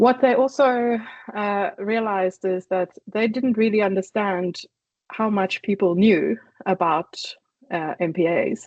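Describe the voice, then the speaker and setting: At a fairly slow pace, a woman speaks in a medium pitch with ordinary pitch variation and a slight South African accent. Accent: faint South African. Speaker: conservation initiative coordinator. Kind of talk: online presentation.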